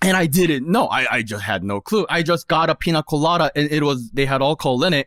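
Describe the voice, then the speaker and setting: A man with a Korean accent speaks at a very fast pace. His pitch is fairly high and his intonation lively. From South Korea. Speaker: podcast panelist. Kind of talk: casual chat.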